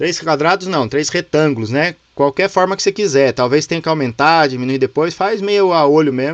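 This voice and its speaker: An ordinary speaking voice from a man, fairly high in pitch, at a moderate pace with hardly any pauses and ordinary pitch variation, dry and close with no echo. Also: quiet background. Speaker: teacher of a leadership course. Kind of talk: online class tutorial. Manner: casual, informal.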